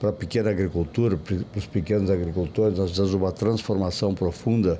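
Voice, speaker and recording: A man speaks in a very deep, low voice. His pace is moderate and his intonation fairly even. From southern Brazil, Rio Grande do Sul (Santa Maria). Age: 70s. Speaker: politician, city planning secretary. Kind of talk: interview. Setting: podcast at a book fair. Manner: halting, with repetitions.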